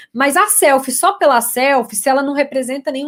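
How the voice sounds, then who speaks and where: A high-pitched woman with a Minas Gerais accent, fairly quick pace and ordinary pitch variation, on a very clean recording with a silent background. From Minas Gerais, Brazil. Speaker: communication consultant and lecturer. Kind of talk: live stream talk for university students.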